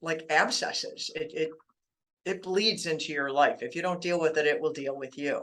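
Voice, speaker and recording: A woman with an unremarkable speaking voice, fairly low in pitch, at a moderate pace with fairly even intonation. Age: 60s. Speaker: author on childhood trauma. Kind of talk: interview. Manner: conversational.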